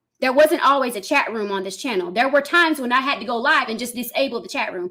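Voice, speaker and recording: A woman's high-pitched voice at a very fast pace, with lively intonation and big swings in loudness over noticeable background noise. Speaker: live streamer. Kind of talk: live stream rant at chat. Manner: loud when passionate; heated, forceful.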